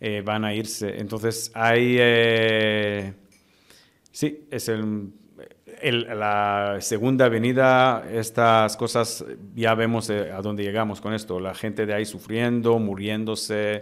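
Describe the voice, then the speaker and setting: A man in a Romanian accent, fairly low-pitched and monotone, flat in intonation, at a very slow pace. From Israel. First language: Romanian (speaking Spanish). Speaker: human rights lawyer. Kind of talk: interview. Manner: halting, many fillers.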